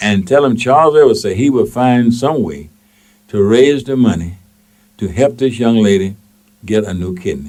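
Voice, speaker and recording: A man speaks at a medium pitch with a Mississippi accent. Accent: Southern US (Mississippi). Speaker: radio talk show host and station manager. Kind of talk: call-in talk radio. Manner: animated.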